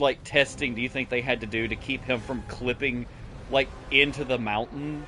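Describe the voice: A plain read-aloud delivery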